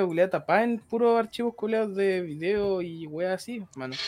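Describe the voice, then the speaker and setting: This man's voice is high-pitched with ordinary pitch variation. He moves along at a fairly quick pace. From Chile, Santiago. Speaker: streamer. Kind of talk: casual chat.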